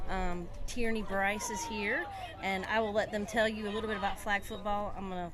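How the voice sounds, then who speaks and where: With a Southern US accent, a woman talks at a moderate pace and in a fairly even tone, with audible room echo and noticeable background noise. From US South. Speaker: softball association official. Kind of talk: casual chat.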